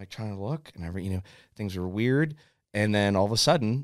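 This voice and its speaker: This man has a western Pennsylvania accent. His pitch is fairly low. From western Pennsylvania, Indiana PA. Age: 30s. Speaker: forester. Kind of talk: casual chat. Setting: studio.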